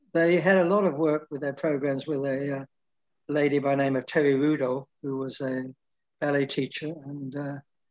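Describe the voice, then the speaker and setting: A man speaks in a fairly high pitch with a flat, monotone delivery. His pace is moderate, and the background is quiet. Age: 80s+. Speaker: figure skating coach. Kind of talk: interview answer. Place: home room. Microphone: video call.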